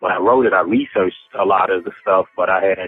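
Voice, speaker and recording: A man with an East Coast accent at a fairly quick pace, noticeable background noise behind him. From New York (Harlem, Bronx) and South Central Los Angeles. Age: 50s. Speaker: rapper. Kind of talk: interview.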